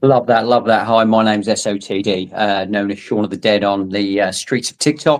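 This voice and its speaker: With a British accent, a man talks at a fairly quick pace in a fairly low pitch and a flat monotone, captured in a very clean recording with a silent background. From Britain. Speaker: spiritual guide. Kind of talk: podcast discussion.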